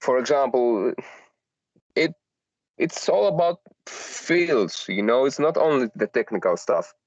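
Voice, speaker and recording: A man speaks at a very slow pace, with long, frequent pauses. The sound is dry and close with no echo, and his loudness stays very even. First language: not English. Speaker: solo artist and audio engineer. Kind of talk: casual chat. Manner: halting, many fillers.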